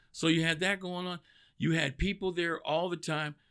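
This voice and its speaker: In a Texan accent, a man talks at a moderate pace with a bright, sharp tone. The recording is very clean, with a silent background. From Texas, East Dallas. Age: 40s. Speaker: cigar brand sales rep. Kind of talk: interview. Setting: studio.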